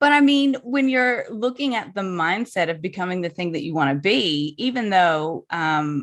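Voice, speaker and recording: With a slight Southern US accent, a woman talks at medium pitch with very wide pitch swings and hardly any pauses. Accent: slight Southern drawl. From US South, New Orleans, Louisiana. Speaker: birth photographer. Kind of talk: podcast interview.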